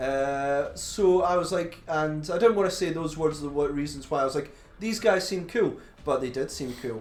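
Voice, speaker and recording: Speaking in a strong Glaswegian accent, a man uses a fairly high pitch with ordinary pitch variation at a moderate pace, with audible room echo. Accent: thick Glaswegian Scottish. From Scotland, Glasgow. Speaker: podcast co-host. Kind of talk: casual chat.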